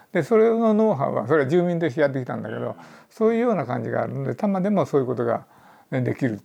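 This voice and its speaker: Very fast and fairly high-pitched, a man speaks with a dark, mellow tone. His pitch swings very widely. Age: 70s. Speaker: urban planner. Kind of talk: interview. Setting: podcast recording.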